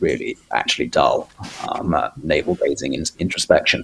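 A man talks with a British accent. Noticeable background noise runs behind him. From Britain. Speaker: publisher. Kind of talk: casual chat. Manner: halting, many fillers.

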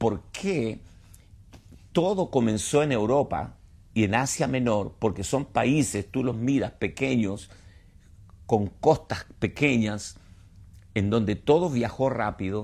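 A man speaks very slowly at a medium pitch with long, frequent pauses. His intonation is lively. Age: 70s. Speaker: pastor and Bible teacher. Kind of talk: sermon-style Bible teaching. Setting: online livestream.

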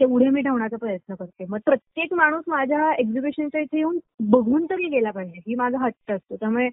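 The woman's high voice has lively intonation. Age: 20s. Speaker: small business owner, artist. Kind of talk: interview.

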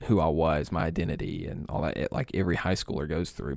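A man speaks at a fairly quick pace on a very clean recording with a silent background. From East Alabama, US South. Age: 20s. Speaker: online pastor. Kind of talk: casual chat.

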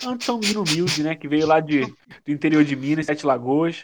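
Against a quiet background, a man with a fairly high pitch and a plain, everyday voice talks at a fairly quick pace. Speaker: podcast co-host. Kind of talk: casual chat.

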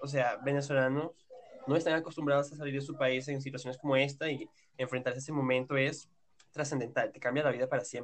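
A man with a fairly high pitch talks at a very fast pace in a monotone, flat intonation. His loudness swings widely. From Venezuela, Yaracuy. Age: 19. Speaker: podcast guest, Venezuelan migrant. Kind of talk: casual chat.

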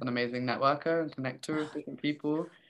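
A woman speaks at a very fast pace. Her pitch is very deep and low. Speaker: podcast host, holistic coach. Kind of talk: casual interview. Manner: laughs often.

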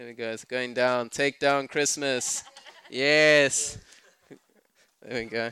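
A medium-pitched man with a South African accent, monotone, flat intonation, big swings in loudness, and long, frequent pauses. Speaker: pastor. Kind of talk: sermon. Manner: casual, halting with fillers.

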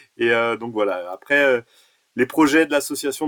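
A man with an unremarkable speaking voice, medium in pitch, talks at a moderate pace. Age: 40s. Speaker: basketball association president and tournament organizer. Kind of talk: podcast interview.

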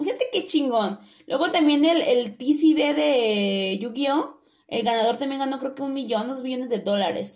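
A woman speaks with a Mexican accent at a high pitch. Her intonation is lively and her pace moderate. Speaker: podcast co-host. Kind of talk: casual chat.

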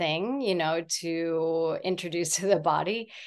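A woman speaks in a plain, everyday voice, pitched fairly low. Her pitch varies in an ordinary way over a quiet background. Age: 40s. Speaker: fermented food business owner. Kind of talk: interview.

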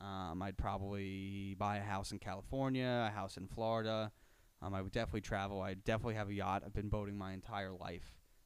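The speaker talks at a very fast pace in an American accent, with monotone, flat intonation. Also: man, fairly low pitch for a man. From Long Island, New York (Suffolk County). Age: 20s. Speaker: mortgage broker. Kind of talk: casual interview chat.

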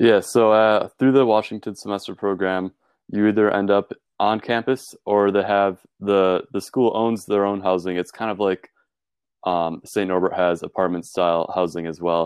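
This man has an ordinary speaking voice and an American accent, pitched fairly low. He talks at a moderate pace with fairly even intonation. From Wisconsin, US Midwest. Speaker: college student. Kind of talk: interview.

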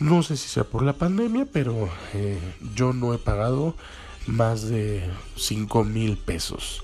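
Pausing long and often, a man speaks with a Mexican accent. His pace is very slow. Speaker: podcast host. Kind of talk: casual monologue.

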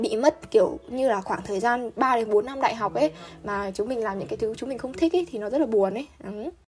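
With music in the background, the speech runs at a fairly quick pace with hardly any pauses and lively intonation. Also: woman, fairly high pitch for a woman. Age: 20s. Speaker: university student. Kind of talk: casual chat. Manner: animated.

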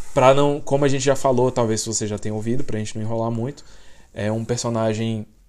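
A man at a medium pitch, with a Brazilian accent and fairly even intonation. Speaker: podcast host. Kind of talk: casual chat.

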